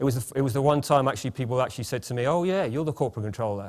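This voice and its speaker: Very fast speech from a man, medium in pitch with ordinary pitch variation, captured in a very clean recording against a silent background. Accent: British. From England. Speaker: management consultant, former CFO. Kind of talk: conference opening speech. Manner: halting, many repetitions and fillers; informal, chatty.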